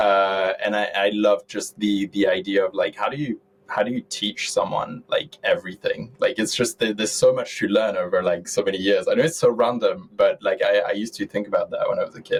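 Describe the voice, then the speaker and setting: A man with a French accent talks at a fairly quick pace with hardly any pauses. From France, south of Paris. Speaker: tech entrepreneur. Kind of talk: interview conversation. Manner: halting.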